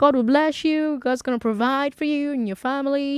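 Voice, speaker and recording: A put-on character voice, female-sounding and high-pitched, delivered in an American accent. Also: moderate pace. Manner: pleading, blessing.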